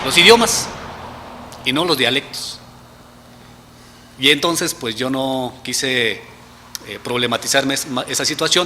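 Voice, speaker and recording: Noticeable background noise is present. Over it, a man talks with lively intonation. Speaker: researcher. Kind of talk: interview.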